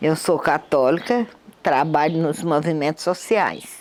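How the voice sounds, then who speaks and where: A woman with a very deep, low pitch at a very slow pace, in a very clean recording with a silent background. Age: 60s. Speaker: community activist. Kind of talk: testimony.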